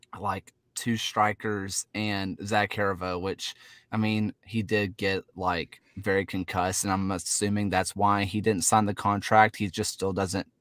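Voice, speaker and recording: A man with a Southern US accent speaks at a fairly slow pace in a fairly low voice. The sound is dry and close, with no echo. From US South. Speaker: soccer podcast host. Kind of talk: casual chat. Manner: animated.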